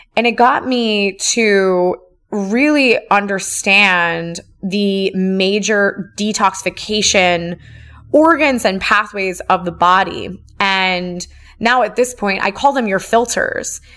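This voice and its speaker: Music plays in the background as a woman of medium pitch speaks very slowly with ordinary pitch variation. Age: 30s. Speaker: integrative medicine practitioner. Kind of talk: solo educational podcast monologue.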